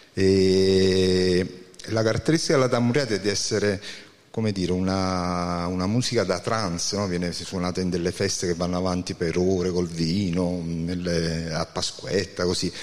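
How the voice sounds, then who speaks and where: This man has a very deep, low pitch and talks at a moderate pace with fairly even intonation. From Naples area, Campania. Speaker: band musician. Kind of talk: interview.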